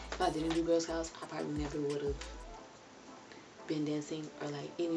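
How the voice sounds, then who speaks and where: Soft-spoken and quite quick, a woman with a very deep, low pitch talks in a flat monotone, with audible room echo and noticeable background noise. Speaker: vlogger. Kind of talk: casual storytelling to camera.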